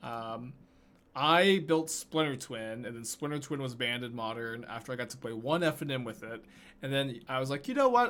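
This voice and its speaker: Here a man talks with an American accent. His pace is moderate and his pitch variation ordinary. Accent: Texan accent, usually suppressed. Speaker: Magic: The Gathering streamer. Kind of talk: gameplay commentary with chat. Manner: casual, lots of filler words.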